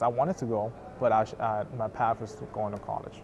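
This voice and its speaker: Fairly even in intonation, a man talks at a medium pitch and a fairly quick pace. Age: 20s. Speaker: college student. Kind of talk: interview testimony. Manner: halting.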